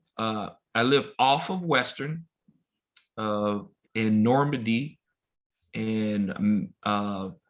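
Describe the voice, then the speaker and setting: A man's medium-pitched voice with an American accent, very slow pace and long, frequent pauses. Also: ordinary pitch variation. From Los Angeles, South Central. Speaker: baseball umpire. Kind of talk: casual chat.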